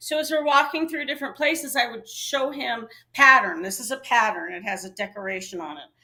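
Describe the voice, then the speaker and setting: A woman's raised, projected voice, high, bright and sharp, with lively intonation, big swings in loudness and a fairly quick pace. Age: 60s. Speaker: co-host, wife of the show's host. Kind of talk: casual chat. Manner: halting.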